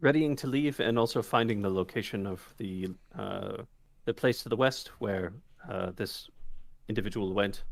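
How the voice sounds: This is a natural reading voice. Nothing else is noted.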